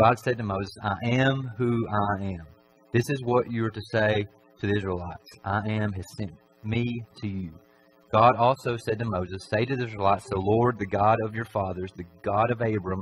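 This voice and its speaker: A man's fairly low-pitched, fairly even delivery at a moderate pace, a plain, everyday voice, with light background noise. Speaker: preacher. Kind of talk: sermon. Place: church.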